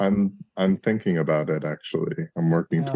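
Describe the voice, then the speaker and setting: The voice is resonant, with lively intonation. It moves at a moderate pace. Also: man, very deep, low pitch for a man. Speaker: call participant. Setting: video call.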